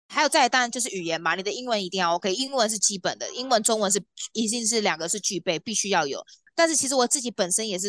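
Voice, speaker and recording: A woman talks at a very fast pace with ordinary pitch variation, her voice dry and close with no echo against a quiet background. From Taiwan, New Taipei. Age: 30s. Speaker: polar tour guide. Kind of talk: interview.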